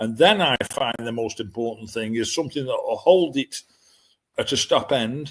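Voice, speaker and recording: Lively intonation marks this man's northern English accent. He speaks at a moderate pace and a medium pitch. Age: 70s. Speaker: dog breeder. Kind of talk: interview.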